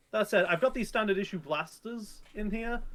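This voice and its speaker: A man with a high voice speaks at a moderate pace. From northern England, near Sheffield. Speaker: card game commentator. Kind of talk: casual chat. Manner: halting.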